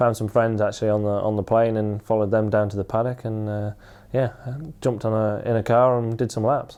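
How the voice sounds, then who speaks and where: The speech comes in a Lincolnshire accent at a fairly quick pace. Its intonation is monotone and flat. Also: man, fairly low pitch for a man. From Louth, Lincolnshire, England. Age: 20s. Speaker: motorcycle road racer. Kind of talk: interview answer. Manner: casual.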